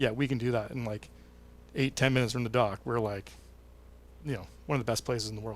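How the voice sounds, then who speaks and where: Very fast speech broken by long, frequent pauses, with fairly even intonation, in a Western Canadian accent. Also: man, medium pitch for a man. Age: 30s. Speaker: tourism association president. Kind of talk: casual interview. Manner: hesitant, many fillers.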